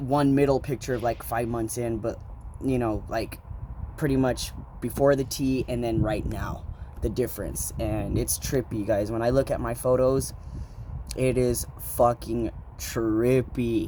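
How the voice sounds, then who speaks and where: Long, frequent pauses break up fairly even intonation, with noticeable background noise throughout. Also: man, medium pitch for a man. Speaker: vlogger. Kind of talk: casual vlog. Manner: casual, filler-heavy, halting.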